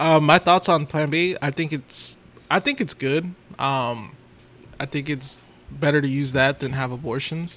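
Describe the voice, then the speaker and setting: Here is a man with an unremarkable speaking voice and fairly high pitch. His delivery is fairly slow, with fairly even intonation. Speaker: hospital worker and podcast host. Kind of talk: casual banter podcast chat.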